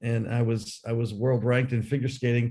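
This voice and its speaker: Somewhat breathy, a man talks at a medium pitch. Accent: American. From United States. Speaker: sports lawyer and arbitrator. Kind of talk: panel discussion. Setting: video call from a hotel room. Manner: halting.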